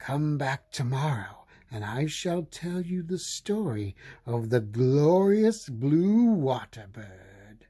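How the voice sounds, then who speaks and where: Putting on a character voice, a man speaks at a very slow pace with a fairly high pitch and very wide pitch swings. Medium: read story. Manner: slow, storytelling.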